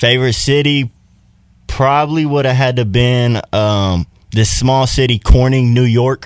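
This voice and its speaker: A man talks at a fairly slow pace with a medium pitch and fairly even intonation in a plain, everyday voice. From Texas, Buda near Austin. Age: 20s. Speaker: rapper. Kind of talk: casual interview.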